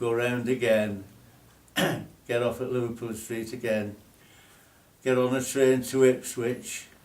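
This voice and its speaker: At a fairly slow pace and medium pitch, a man with a Lancashire accent speaks in a flat monotone, with long, frequent pauses and audible room echo. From northern England, Burscough, Lancashire. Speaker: former RAF national serviceman. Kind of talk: casual reminiscing chat.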